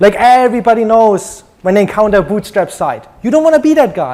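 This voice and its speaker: With lively intonation, a man speaks in a German accent over noticeable background noise. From Germany. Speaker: conference speaker, web developer. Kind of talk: conference talk. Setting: stage with audience.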